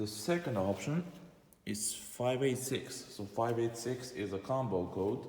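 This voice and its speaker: The speaker has a non-native accent. The delivery is fairly slow. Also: man, medium pitch for a man, ordinary pitch variation. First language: not English. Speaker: car enthusiast vlogger. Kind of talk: car walkaround video. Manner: halting.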